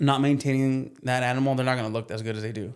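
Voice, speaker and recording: A man talks at a fairly quick pace and medium pitch. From US, Mexican-American family. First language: Spanish. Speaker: plumbing business owner and horse trainer. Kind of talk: casual chat.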